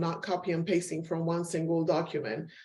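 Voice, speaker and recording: In a Spanish accent, a woman speaks with a dark, mellow tone. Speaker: professor. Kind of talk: webinar presentation. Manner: frequent filler ums.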